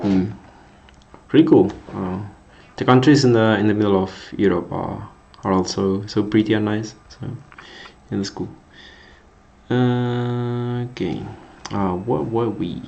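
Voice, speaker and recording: With a Spanish accent, the voice moves at a fairly slow pace with long, frequent pauses, ordinary pitch variation and big swings in loudness, amid audible room echo. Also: man, fairly low pitch for a man. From Spain. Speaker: coding streamer. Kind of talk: live coding stream chat. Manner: halting, repetitive; slower in English than usual.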